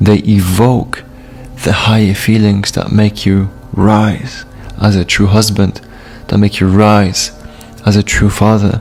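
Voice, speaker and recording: With a Polish accent, a man speaks at a fairly low pitch and a fairly slow pace with fairly even intonation while music plays in the background. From Poland. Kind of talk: testimony.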